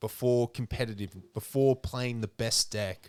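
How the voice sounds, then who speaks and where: A man with an Australian accent speaks at medium pitch and a fairly slow pace. The sound is dry and close, with no echo. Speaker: podcast host. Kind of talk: casual chat.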